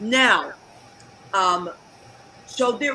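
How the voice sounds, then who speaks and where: A woman's voice with ordinary pitch variation amid noticeable background noise. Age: 60s. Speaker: talk show host. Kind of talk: casual chat. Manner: animated.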